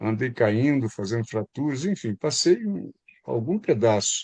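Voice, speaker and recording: A dark, mellow tone at a fairly slow pace, over a quiet background. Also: man, dry, close sound with no echo. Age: 80s+. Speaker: physician and spiritual speaker. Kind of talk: talk to online group.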